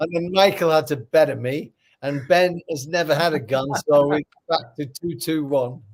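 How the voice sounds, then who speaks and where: With a Lancashire accent, the speaker keeps a moderate pace and ordinary pitch variation. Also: man, fairly high pitch for a man. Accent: St Helens, Lancashire English. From northern England, St Helens. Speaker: podcast co-host, former boxer. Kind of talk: casual chat.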